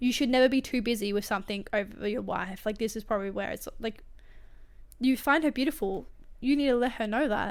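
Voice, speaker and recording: This woman has a high pitch and an animated tone, with ordinary pitch variation. She talks at a fairly quick pace on a very clean recording with a silent background. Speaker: podcast host reading and commenting on online stories. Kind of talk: reading aloud with casual commentary. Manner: fast.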